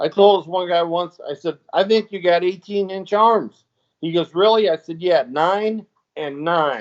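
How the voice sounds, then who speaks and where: Pitched high, a man talks with ordinary pitch variation. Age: 50s. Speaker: former pro wrestler and show co-host. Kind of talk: casual chat. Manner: animated.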